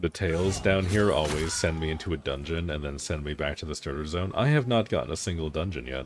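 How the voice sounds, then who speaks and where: Fairly quick delivery with hardly any pauses and ordinary pitch variation. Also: man, very deep, low pitch for a man. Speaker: game streamer. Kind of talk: live gameplay stream chat. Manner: fast.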